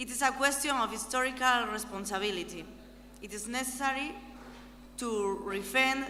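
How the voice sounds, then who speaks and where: Speaking at a fairly slow pace, a woman with a fairly high pitch is heard over noticeable background noise, with audible room echo. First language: not English. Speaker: European Parliament member. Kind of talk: conference speech. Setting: conference hall with audience.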